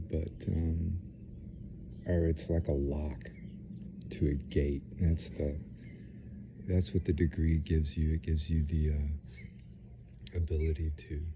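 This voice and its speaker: Soft-spoken man with a very deep, low pitch, fairly even intonation, a very slow pace and long, frequent pauses, over background music. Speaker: vlogger. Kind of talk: casual monologue. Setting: outdoors. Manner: soft-spoken, speaking low; halting, many fillers.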